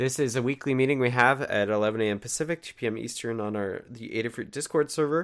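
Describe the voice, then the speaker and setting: A man talks at a fairly quick pace in a normal speaking voice. His pitch varies in an ordinary way. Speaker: meeting host. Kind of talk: weekly community meeting. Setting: online voice chat.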